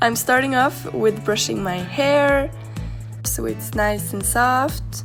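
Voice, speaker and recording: With music playing in the background, a woman speaks. She has a Norwegian accent and a very slow pace. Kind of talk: casual vlog talk to camera.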